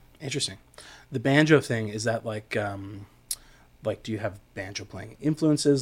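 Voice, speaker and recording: Somewhat breathy, a man speaks at a medium pitch with ordinary pitch variation. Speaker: podcast host and recording studio engineer. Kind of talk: casual interview chat. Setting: studio. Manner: hesitant, filler-heavy, relaxed.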